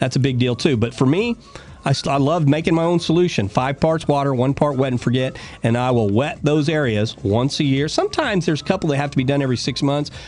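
With music in the background, a man speaks very fast in an upbeat tone, his fairly high pitch varying in an ordinary way and his loudness very even. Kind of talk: radio DJ patter: live gardening call-in show, chatty sponsor plugs and call-taking. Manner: brisk, upbeat and folksy, with quick banter, ad-libbed jokes and sponsor plugs.

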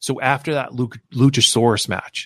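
A man with an American accent has a plain, everyday voice, speaking at a medium pitch and a fairly slow pace with ordinary pitch variation. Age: 40s. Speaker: wrestling podcast host. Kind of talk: solo podcast commentary.

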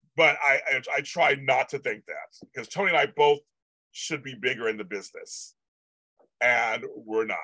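His voice has a bright, sharp tone. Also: dry, close sound with no echo. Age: 50s. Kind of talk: casual livestream chat. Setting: live YouTube stream. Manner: animated, chatty.

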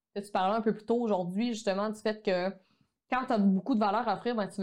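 At a very fast pace, a woman speaks at a medium pitch with monotone, flat intonation. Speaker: online photography course entrepreneur. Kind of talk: casual interview conversation.

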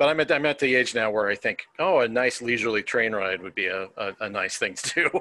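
Speaking with lively intonation and hardly any pauses, a man has an unremarkable speaking voice at a medium pitch. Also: fairly quick pace. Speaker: podcast host. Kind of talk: casual chat.

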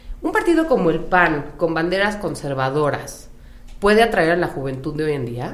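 Over noticeable background noise and audible room echo, a woman speaks at a fairly low pitch. Her intonation is lively and her pace moderate. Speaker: podcast host. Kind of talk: interview. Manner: casual.

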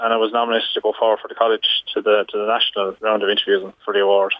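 With a Waterford Irish accent, a man talks at a very fast pace in a medium pitch. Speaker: dairy farmer. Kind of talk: radio interview. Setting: phone call.

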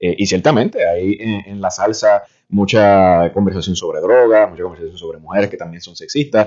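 At a moderate pace, a man with an unremarkable speaking voice and fairly low pitch shows ordinary pitch variation and big swings in loudness. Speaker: reporter. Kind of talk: radio panel discussion.

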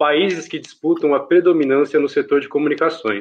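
A normal speaking voice from a man, pitched fairly high and delivered at a moderate pace. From Brazil, São Paulo city. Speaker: podcast co-host, diplomacy exam candidate. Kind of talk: casual discussion.

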